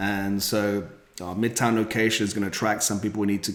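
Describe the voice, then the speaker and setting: Noticeable background noise sits under this recording. A man with a British accent talks at a very fast pace. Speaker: rental company founder. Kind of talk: podcast interview.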